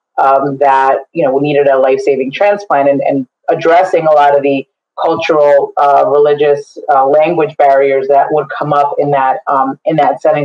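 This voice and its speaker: With a Spanish accent, a woman talks at a moderate pace in a very deep, low voice that stays monotone and flat. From New Jersey, Bergen County. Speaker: diversity and inclusion leader in healthcare. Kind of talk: webinar interview.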